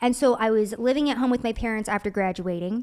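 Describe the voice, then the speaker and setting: A woman talking very fast, fairly high in pitch and animated, with ordinary pitch movement on a very clean recording with a silent background. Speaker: political commentator. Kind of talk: casual chat. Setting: studio.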